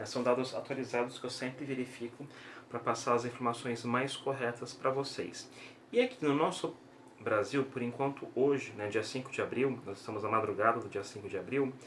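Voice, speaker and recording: Over noticeable background noise, a man with a Brazilian accent speaks at a medium pitch with fairly even intonation. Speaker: YouTuber giving daily news updates. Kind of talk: informal video bulletin. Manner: slow, deliberate; hesitant with fillers.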